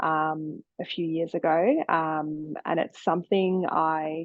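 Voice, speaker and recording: A woman speaks with an Australian accent. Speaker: osteopath. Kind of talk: podcast interview. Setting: remote call.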